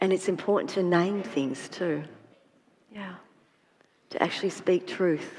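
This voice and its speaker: A woman with an Australian accent at a fairly slow pace, with long, frequent pauses and ordinary pitch variation. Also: medium pitch for a woman. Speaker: trauma therapist. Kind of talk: panel discussion. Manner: halting, repeats words.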